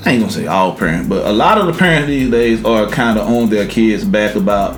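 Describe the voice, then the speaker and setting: In an American accent, the speech moves at a fairly quick pace with lively intonation, with music in the background and audible room echo. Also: man, medium pitch for a man. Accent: country twang, with some West Coast. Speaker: podcast co-host. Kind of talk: casual chat.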